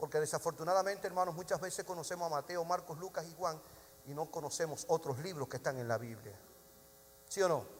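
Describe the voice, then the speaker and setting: Very fast speech from a man, pitched high, its pitch varying in an ordinary way. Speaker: pastor. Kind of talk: sermon.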